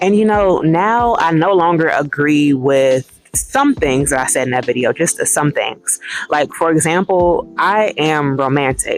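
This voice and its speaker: The speech moves at a fairly slow pace with music playing in the background. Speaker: vlogger. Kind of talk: personal vlog reflection.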